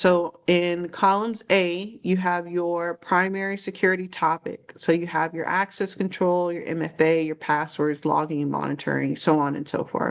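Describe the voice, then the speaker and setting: Speaking at a moderate pace with hardly any pauses, a woman has a fairly low pitch, fairly even intonation and a plain, everyday voice. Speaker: cybersecurity trainer. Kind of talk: training session.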